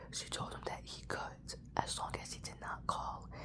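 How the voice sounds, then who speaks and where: Over clearly audible background noise, someone whispers at a rather unhurried pace. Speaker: ASMR YouTuber. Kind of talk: scary story reading. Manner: soft-spoken, whispery.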